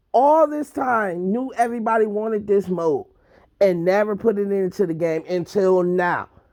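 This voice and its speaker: The background stays quiet. Words come out at a fairly slow pace. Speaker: gaming youtuber. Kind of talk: rant review. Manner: loud, yelling.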